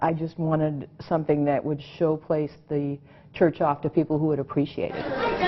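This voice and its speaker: A woman with a very deep, low pitch at a moderate pace, flat and monotone, with crowd noise in the background. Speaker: orthopedic surgeon who bought a church. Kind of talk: interview answer.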